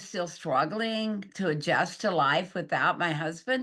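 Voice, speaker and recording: Against a quiet background, a woman with an American accent talks at a moderate pace in a medium pitch, her tone bright and sharp and her intonation lively. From Texas. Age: 80s+. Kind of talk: interview answer.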